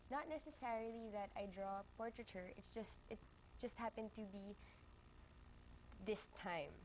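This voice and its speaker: At a moderate pace, a woman with a fairly high voice and ordinary pitch variation speaks with long, frequent pauses. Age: 20s. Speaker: artist. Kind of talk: TV interview. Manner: halting.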